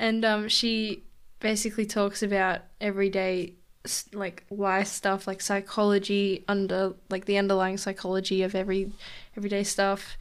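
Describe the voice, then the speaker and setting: A woman with a normal speaking voice at medium pitch, moderate pace and fairly even intonation, on a very clean recording with a silent background. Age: young. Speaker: solo podcaster, university student. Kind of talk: casual monologue. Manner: chatty, laughs often.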